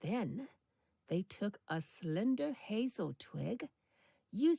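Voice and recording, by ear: Here is someone reading aloud in a natural voice with lively intonation. The background is quiet.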